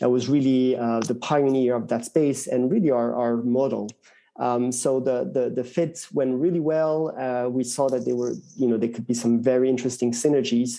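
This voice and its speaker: A man with a French accent, a dark, mellow tone, medium pitch, fairly even intonation and a moderate pace. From France. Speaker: tech executive. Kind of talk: interview. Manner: hesitant, many fillers.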